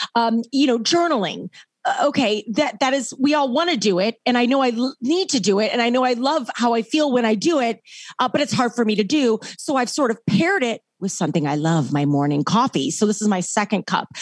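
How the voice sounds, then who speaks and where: An animated delivery at a fairly quick pace, full of very wide pitch swings. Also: woman, fairly high pitch for a woman. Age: 40s. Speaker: keynote speaker and author. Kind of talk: casual interview.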